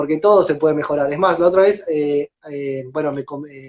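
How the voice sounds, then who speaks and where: The man's voice has a dark, mellow tone and ordinary pitch variation, heard as a dry, close sound with no echo. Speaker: lawyer teaching a class. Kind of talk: lecture. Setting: Instagram live stream. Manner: fast.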